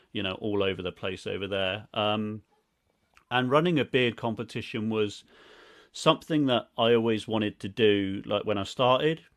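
Over a quiet background, a man with a southern English accent speaks at a moderate pace in a fairly low voice with ordinary pitch variation. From southern England, Reading, Berkshire; southern England. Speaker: beard products business owner; guest. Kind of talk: casual interview chat. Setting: video call. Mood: relaxed, enthusiastic. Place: home room.

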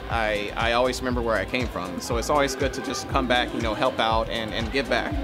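A man speaks at a fairly quick pace with clear music in the background. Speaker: pilot vlogger. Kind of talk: casual vlog chat. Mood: proud, reflective. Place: street. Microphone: phone near.

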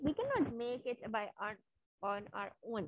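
A woman speaks in a high voice with ordinary pitch variation. The sound is dry with no echo, over a quiet background. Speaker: online teacher. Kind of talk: lesson to young children. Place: home room. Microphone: webcam.

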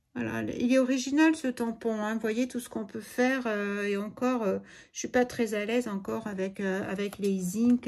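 A woman with a fairly high pitch and a somewhat breathy voice speaks at a moderate pace with ordinary pitch variation. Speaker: crafts video creator. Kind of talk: crafting tutorial. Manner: animated.

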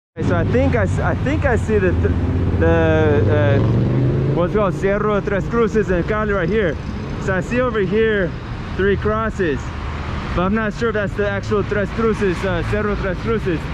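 Noticeable background noise runs through the clip. A man speaks over it at a moderate pace. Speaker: travel vlogger. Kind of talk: casual vlog chat. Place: street. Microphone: phone near.

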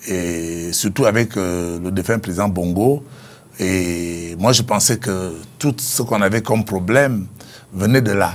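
The man talks at a very slow pace. His pitch is fairly low, with ordinary variation. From northern Gabon, Oyem; Gabon. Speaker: former politician and author; former politician. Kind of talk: interview. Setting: studio. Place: studio.

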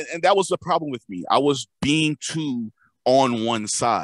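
A man's voice, dry and close with no echo, moves at a moderate pace with ordinary pitch variation. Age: 20s. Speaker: podcast co-host. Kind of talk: casual chat.

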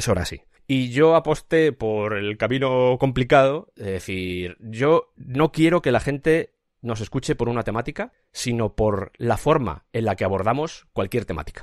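Against a quiet background, a man in a normal speaking voice talks at a fairly slow pace and medium pitch with lively intonation. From Spain, raised in Madrid, family from Cuenca. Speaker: podcast creator. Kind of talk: interview.

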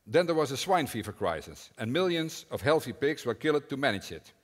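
A man's voice with vocal fry at a moderate pace, against a quiet background. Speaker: conference speaker. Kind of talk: prepared talk. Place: hall.

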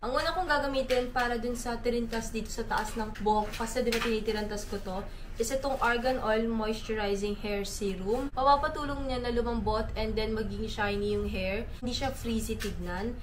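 A woman talks at a moderate pace with hardly any pauses, light background noise behind her. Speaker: vlogger. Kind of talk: casual vlog chat.

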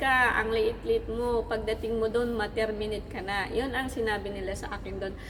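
Fairly even intonation from a woman, amid noticeable background noise and audible room echo. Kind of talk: Bible reading and devotional sharing. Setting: in a mall. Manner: halting.

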